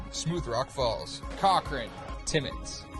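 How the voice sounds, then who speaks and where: With music in the background, a man speaks at a very slow pace. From Ontario, Canada. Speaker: TV host and news reporter. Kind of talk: broadcast reporting and presenting.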